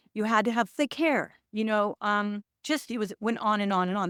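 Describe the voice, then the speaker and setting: A woman with an American accent speaks in a fairly high, animated voice at a moderate pace. The recording is very clean and silent behind her, dry and close with no echo. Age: 60s. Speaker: actor and producer. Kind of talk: interview conversation. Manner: halting.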